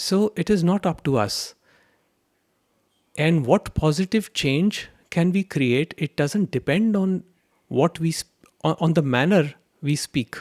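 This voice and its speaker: With a high pitch and ordinary pitch variation, a man speaks at a fairly slow pace with long, frequent pauses, the sound dry and close with no echo on a very clean recording with a silent background. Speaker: spiritual teacher. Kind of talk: spiritual talk answering a question.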